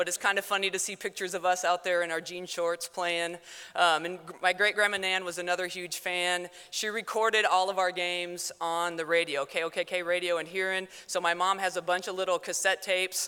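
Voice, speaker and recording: Loud and bright, with a sharp tone, a woman with an American accent and a medium pitch talks at a fairly quick pace with hardly any pauses on a very clean recording with a silent background. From South Dakota. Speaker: former athlete, teacher and coach. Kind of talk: award acceptance speech. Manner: fast.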